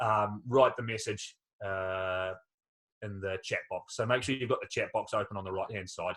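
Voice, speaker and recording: Against a quiet background, a man with a New Zealand accent talks at a moderate pace. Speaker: skydiver and test jumper. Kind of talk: webinar Q&A. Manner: hesitant, many fillers.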